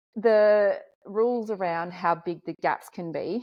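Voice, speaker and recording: The speaker is a woman with an Australian accent. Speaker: podcast host. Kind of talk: interview conversation.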